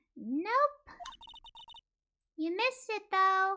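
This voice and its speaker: In a put-on character voice, a female-sounding speaker talks squeakily at an extremely high pitch and a fairly slow pace. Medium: game stream. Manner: chatty, slightly nervous.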